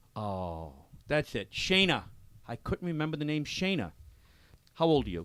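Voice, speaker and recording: Loud and fairly high-pitched, a man speaks at a moderate pace with very wide pitch swings and long, frequent pauses. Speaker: radio show host. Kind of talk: live radio chat. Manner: animated.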